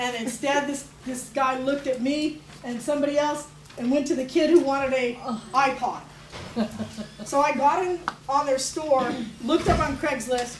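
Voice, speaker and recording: A woman with a high pitch speaks at a moderate pace, with fairly even intonation and long, frequent pauses. There is noticeable background noise and audible room echo. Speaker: arts educator presenting a teacher workshop. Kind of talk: workshop presentation. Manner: casual, with many fillers.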